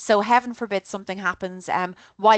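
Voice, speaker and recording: A woman with an Irish accent at a fairly quick pace, in a dry, close sound with no echo and a quiet background. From Ireland. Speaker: travel tour organizer. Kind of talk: informational presentation. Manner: casual and animated.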